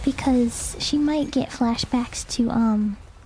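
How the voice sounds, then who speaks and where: Music plays in the background as the speaker talks at a very slow pace. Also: woman. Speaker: gaming streamer. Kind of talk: casual live stream chat while gaming. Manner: casual, hesitant with fillers.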